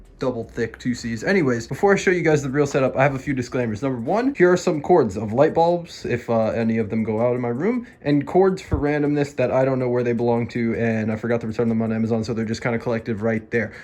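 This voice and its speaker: Over noticeable background noise, a man at a medium pitch rushes along at a very fast pace with hardly any pauses and ordinary pitch variation. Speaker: gaming YouTuber. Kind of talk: casual vlog tour. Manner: animated.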